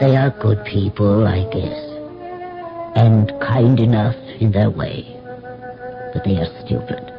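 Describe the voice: Over faint music in the background, a man performs a put-on character voice with vocal fry at a fairly low pitch, speaking at a slow pace with long, frequent pauses and big pitch swings.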